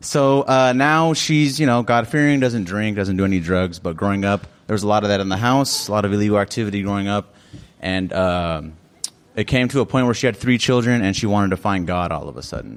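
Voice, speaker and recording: A man speaks at a fairly quick pace with lively intonation and a fairly low pitch. Noticeable background noise runs under his voice. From South Phoenix, Arizona. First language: Spanish. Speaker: storyteller. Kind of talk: storytelling at open mic. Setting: cafe stage with live audience. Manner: casual, animated.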